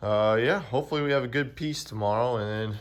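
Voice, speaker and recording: With a Southern US accent, a man talks at a fairly quick pace and fairly low pitch against a quiet background. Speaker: amateur race car driver and YouTuber. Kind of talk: casual garage vlog. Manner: monotone.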